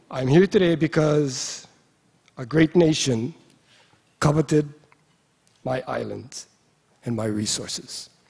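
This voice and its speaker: Pausing long and often, a man speaks at a very slow pace in a somewhat breathy voice with ordinary pitch variation. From Hawaii (Molokai). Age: 60s. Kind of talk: speech at a conference. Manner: halting, with fillers.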